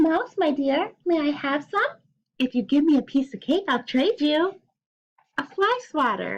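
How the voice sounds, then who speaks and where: A woman performs a put-on character voice, pitched high. She keeps a moderate pace. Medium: read story.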